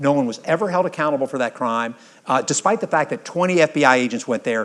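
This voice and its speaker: The speaker talks at a very fast pace in an animated tone with an American accent. The intonation is lively. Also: man. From US South. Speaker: history professor and retired army general. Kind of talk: lecture. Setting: stage with audience.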